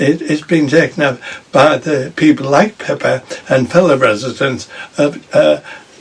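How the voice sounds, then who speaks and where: A man speaks at a moderate pace with a fairly high pitch. His pitch varies in an ordinary way, and there is noticeable background noise. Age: 80s+. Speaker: local councillor and mayor. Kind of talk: casual interview.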